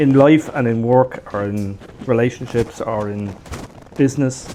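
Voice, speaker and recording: Here is a man with an Irish accent and a medium pitch. His intonation stays fairly even. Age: 60s. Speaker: retired shop owner. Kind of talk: interview.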